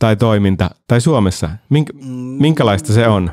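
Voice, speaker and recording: Set against a quiet background with a dry sound and no echo, a man with a dark, mellow tone talks at a moderate pace with very wide pitch swings. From Finland. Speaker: podcast host and actor; podcast host, actor. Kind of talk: casual chat. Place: studio. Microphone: studio mic.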